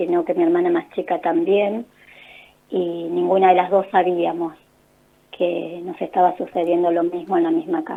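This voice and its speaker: At a fairly slow pace, a woman with a Rioplatense accent talks at a medium pitch with fairly even intonation. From Argentina, La Plata. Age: 50s. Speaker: holistic therapist and author. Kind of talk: radio interview, personal testimony. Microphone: hands-free phone, improved after adjusting.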